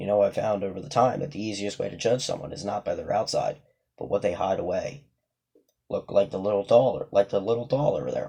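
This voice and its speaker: At a fairly quick pace, a man puts on a raspy character voice. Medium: read story. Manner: calm, soft, menacing.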